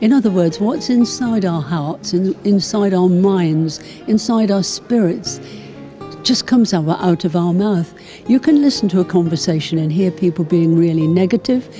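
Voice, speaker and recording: A woman with lively intonation over clear music in the background. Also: moderate pace, dry sound with no echo. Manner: encouraging. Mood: warm, encouraging. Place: home room. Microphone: handheld.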